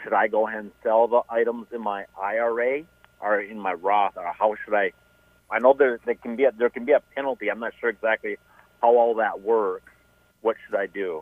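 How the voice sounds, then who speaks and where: A man's ordinary speaking voice, medium in pitch, with fairly even intonation at a moderate pace. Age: 40s. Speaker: radio caller. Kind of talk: call-in question on a finance radio show. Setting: phone call.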